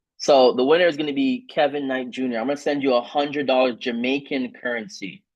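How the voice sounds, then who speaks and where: A man speaks fairly quickly in a medium-pitched voice. His tone is animated, with ordinary pitch variation. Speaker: trading team leader and trainer. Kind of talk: online training call. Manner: fast.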